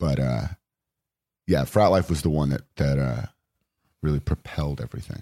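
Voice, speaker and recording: With a Californian accent, a man speaks at a moderate pace in a very deep, low pitch, his tone dark and mellow with vocal fry. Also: dry, close sound with no echo. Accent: General American, Californian. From Los Angeles, Venice. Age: 20s. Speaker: actor and comedian. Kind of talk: casual chat. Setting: studio.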